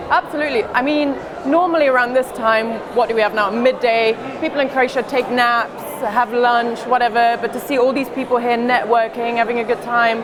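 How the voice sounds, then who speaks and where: With crowd noise behind her and audible room echo, a woman talks at a moderate pace in a high pitch and very even loudness. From Germany (Munich), Croatian parents. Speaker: football reporter and documentary filmmaker. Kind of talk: casual interview on stage. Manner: animated.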